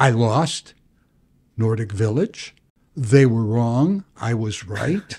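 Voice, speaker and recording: A man with an American accent speaks at a fairly slow pace in a medium pitch. His tone is dark and mellow, and somewhat breathy. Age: 80s+. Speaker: bankruptcy attorney. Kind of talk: interview answer.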